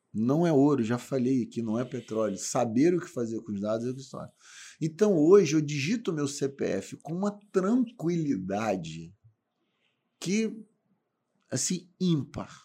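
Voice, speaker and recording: Fairly slow and fairly high for a man, this voice has a dark, mellow tone and very wide pitch swings. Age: 40s. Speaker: supermarket industry executive, lawyer. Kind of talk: casual chat.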